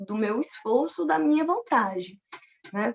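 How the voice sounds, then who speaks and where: Her pitch swinging very widely, a woman keeps to a fairly slow pace. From Paraíba, Brazil (Campina Grande). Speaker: physics teacher and doctoral student. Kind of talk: personal testimony in an online academic talk.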